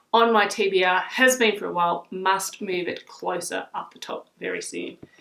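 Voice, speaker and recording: The speaker is a woman with an Australian accent. She talks at a moderate pace. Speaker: book vlogger. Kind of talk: casual talk to camera, book review.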